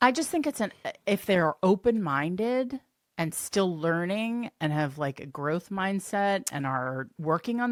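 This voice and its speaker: A woman at a medium pitch, fairly slow, with very wide pitch swings, in a dry, close sound with no echo and a very clean recording with a silent background. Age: 50s. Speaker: podcast host. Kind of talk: casual chat.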